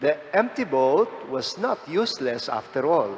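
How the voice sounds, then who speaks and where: A man with a fairly high voice talks at a very slow pace amid noticeable background noise. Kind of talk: homily.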